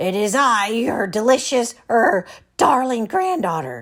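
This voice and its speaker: A put-on character voice, female-sounding and fairly high in pitch, at a fairly slow pace in a very clean recording with a silent background. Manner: feigned sweetness.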